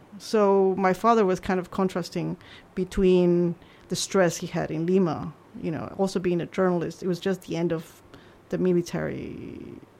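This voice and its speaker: Over a silent background in a very clean recording, a woman speaks at a moderate pace. Her fairly low pitch carries a dark, mellow tone and monotone, flat intonation. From Peru. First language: Spanish. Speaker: journalist. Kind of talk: casual interview. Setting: studio.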